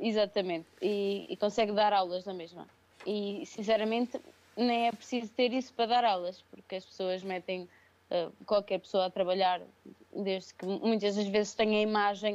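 Intonation stays fairly even as a woman speaks. She uses a medium pitch at a moderate pace. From Portugal, Viseu region. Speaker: crossfit athlete and coach. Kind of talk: casual interview. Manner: hesitant, many fillers.

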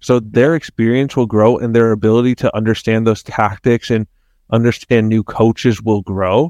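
Against a quiet background with a dry, close sound and no echo, a man with an ordinary speaking voice talks at a medium pitch and a moderate pace. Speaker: co-host and soccer coach. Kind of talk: casual podcast banter about soccer.

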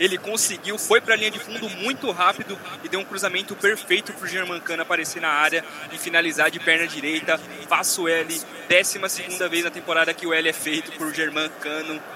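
Noticeable background noise sits behind a man with a high pitch. He talks at a fairly quick pace in an animated, enthusiastic tone. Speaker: radio match commentator. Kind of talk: live football commentary. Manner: animated, enthusiastic analysis.

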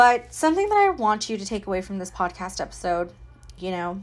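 Mid-range pitch from a woman, captured very cleanly against total silence. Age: 30s. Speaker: podcast host, spiritual healing coach. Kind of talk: solo podcast monologue. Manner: casual.

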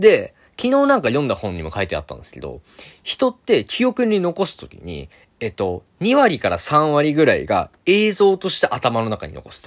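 The loudness swings a lot. The recording is very clean, with a silent background. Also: man, moderate pace. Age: 20s. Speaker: dancer and video creator podcaster. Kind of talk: solo voice blog monologue. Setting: alone in his room.

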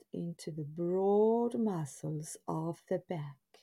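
A somewhat breathy woman's voice, dark, mellow, calm and gentle in tone, medium in pitch with lively intonation, at a very slow pace on a very clean recording with a silent background. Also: dry, close sound with no echo. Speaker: meditation guide. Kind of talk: guided hypnosis-style relaxation script. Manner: slow, soothing, hypnotic, repetitive; calm, gentle, drowsy cadence.

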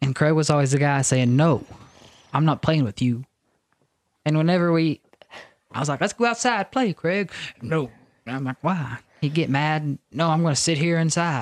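Moderate pace with long, frequent pauses and ordinary pitch variation. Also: man, fairly high pitch for a man. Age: 20s. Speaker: podcast co-host. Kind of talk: casual chat.

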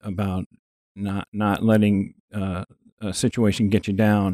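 Against a quiet background, a man speaks in a monotone, flat way with a dark, mellow tone and a dry, close sound with no echo. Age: 60s. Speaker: fitness enthusiast with Parkinson's disease. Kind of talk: casual interview. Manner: halting, frequent repetitions.

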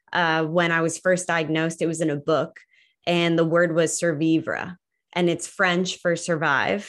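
Over a silent background in a very clean recording, a woman speaks in a flat monotone with a fairly low pitch. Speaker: cancer survivor and advocate. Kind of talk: interview.

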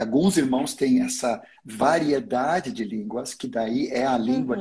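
A man speaks at a fairly slow pace, sounding somewhat breathy. His pitch makes very wide swings. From Sweden. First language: Swedish (speaking Portuguese). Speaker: pastor. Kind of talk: teaching in a livestream interview. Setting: online livestream.

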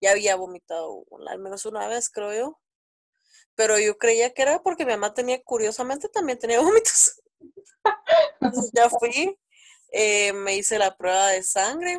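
A woman's fairly high voice with lively intonation, a moderate pace and long, frequent pauses, in a dry, close sound with no echo. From Guatemala. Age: 20s. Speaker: mother sharing birth story. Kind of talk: casual interview chat.

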